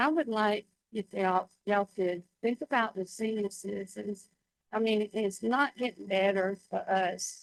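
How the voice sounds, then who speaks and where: Dry, close sound with no echo and a Southern US accent, at a fairly slow pace with ordinary pitch variation. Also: woman, medium pitch for a woman. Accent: Southern US (Georgia). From Georgia, US South. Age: 70s. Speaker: public commenter. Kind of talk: public comment testimony. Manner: halting.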